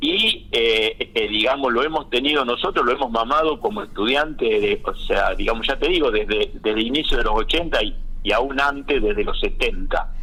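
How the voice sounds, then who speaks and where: Over noticeable background noise, a man talks at a moderate pace with hardly any pauses and very even loudness. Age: 60s. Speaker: agronomist. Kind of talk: radio interview. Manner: halting, many fillers.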